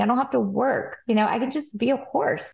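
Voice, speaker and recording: With vocal fry in her voice, a woman talks using ordinary pitch variation. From West Texas (Amarillo). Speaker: forage research analyst and horse farm owner. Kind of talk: interview podcast.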